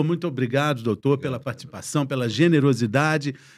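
The background is quiet. A man talks at a fairly quick pace with ordinary pitch variation. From Brazil. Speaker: TV health show host, journalist. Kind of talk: hosted panel discussion. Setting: studio. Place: studio. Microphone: studio mic.

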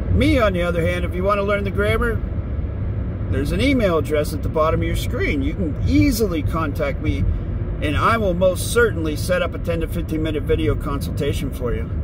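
A man talks at a fairly quick pace, his voice dry with no echo over noticeable background noise. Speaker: grammar tutor channel host. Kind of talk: monologue to camera. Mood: dismissive, self-assured. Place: car. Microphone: phone near.

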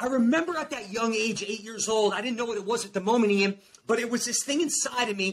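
Here a man speaks in an extremely high pitch with an animated tone and a very fast pace. Light background noise can be heard. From New Jersey. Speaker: performance coach and motivational speaker. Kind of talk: motivational testimony. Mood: emotional personal story. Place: home room.

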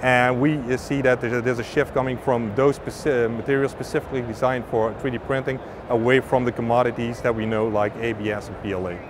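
Over noticeable background noise, a man talks at a fairly quick pace with hardly any pauses, his intonation fairly even and the sound dry with no echo. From Netherlands. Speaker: filament company representative. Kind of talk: interview. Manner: halting. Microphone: lapel.

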